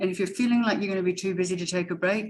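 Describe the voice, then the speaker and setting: Here is a woman with a New Zealand accent. Her pitch is fairly low. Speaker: educator and education consultant. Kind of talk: webinar presentation. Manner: animated; fast when excited.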